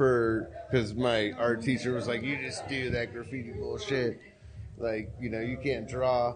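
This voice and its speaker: A man's medium-pitched voice at a fairly slow pace, with music in the background. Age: 50s. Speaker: podcaster and artist. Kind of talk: casual chat. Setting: live event in a warehouse.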